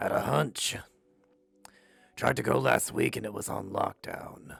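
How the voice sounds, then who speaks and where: A man puts on a raspy character voice with a fairly low pitch. He talks at a moderate pace. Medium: audio drama. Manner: terse, deadpan, few words.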